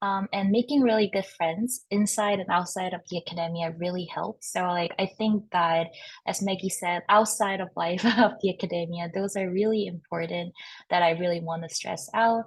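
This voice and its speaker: Somewhat breathy, a woman with a Korean accent speaks at a medium pitch with fairly even intonation. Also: moderate pace. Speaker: early career researcher. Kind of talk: panel discussion.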